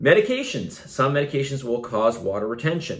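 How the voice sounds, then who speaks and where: This man talks at a moderate pace with a medium pitch. His voice is somewhat breathy. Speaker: fitness coach. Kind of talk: video monologue. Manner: casual, with fillers.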